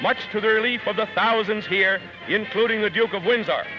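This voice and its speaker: Music in the background behind a man's raised, projected voice, extremely high for a man, at a moderate pace. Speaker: newsreel narrator. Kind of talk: vintage newsreel narration. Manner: lively, wry.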